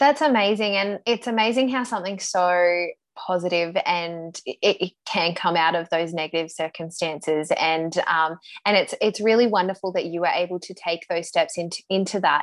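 A woman with an Australian accent at a medium pitch and a moderate pace, with ordinary pitch variation and a quiet background. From Australian city. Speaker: podcast host and business coach. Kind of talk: casual interview.

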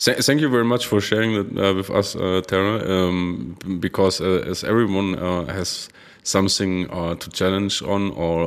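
A man with a German accent speaks at a moderate pace. His pitch is very deep and low, with ordinary variation. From Germany. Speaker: podcast host. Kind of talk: interview. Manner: halting, many fillers.

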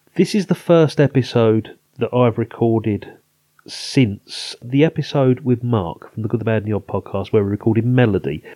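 A man with an English accent talks at a moderate pace and medium pitch in a dark, mellow tone with lively intonation, on a very clean recording with a silent background and a dry, close sound with no echo. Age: 50s. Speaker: film podcast host. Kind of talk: casual chat.

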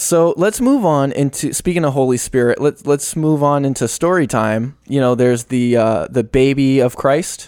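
With an unremarkable speaking voice, a man of fairly high pitch talks at a moderate pace, with ordinary pitch variation and hardly any pauses. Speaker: podcast host. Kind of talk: casual comedic chat.

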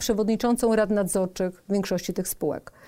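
This woman has a normal speaking voice, medium in pitch, with fairly even intonation. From south-eastern Poland. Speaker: business executive and board member. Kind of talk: podcast interview.

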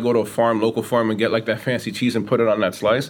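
This man has a New York accent and a medium pitch. He speaks at a very fast pace. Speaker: pizzeria owner. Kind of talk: casual interview. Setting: in his pizza shop.

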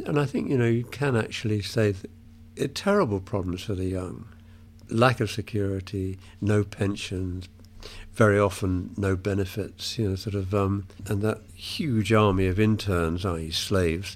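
With a British accent, a man talks at a moderate pace. His pitch is fairly low and his intonation fairly even. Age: 70s. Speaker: retired English literature professor and author. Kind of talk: interview about his book. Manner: hesitant, self-correcting.

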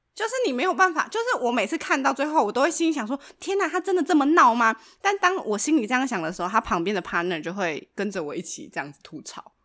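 A woman with a Taiwanese accent talks very fast at a high pitch in a bright, sharp tone. Her pitch swings very widely and her loudness shifts in big swings. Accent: Taiwanese Mandarin. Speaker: podcast co-host. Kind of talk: casual chat. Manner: laughs often.

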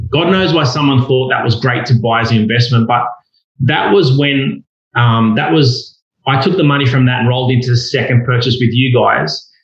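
In an Australian accent, a man speaks at a moderate pace with a somewhat breathy, medium-pitched voice. His pitch variation is ordinary and his loudness very even. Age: 40s. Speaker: property investor. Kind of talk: casual chat.

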